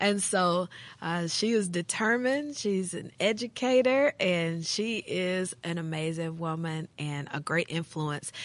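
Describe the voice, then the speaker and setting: A woman with an American accent talks at a fairly slow pace with hardly any pauses, against a quiet background. She has an ordinary speaking voice, fairly low in pitch. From US South, western Tennessee. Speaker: pastor and women's ministry director. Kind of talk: casual chat.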